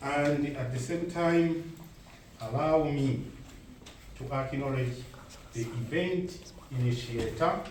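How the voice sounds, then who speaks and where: A man with a Ugandan accent and a fairly high pitch speaks at a very slow pace with long, frequent pauses and ordinary pitch variation, amid audible room echo and noticeable background noise. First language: Luganda. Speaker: event speaker. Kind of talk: formal speech. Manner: formal.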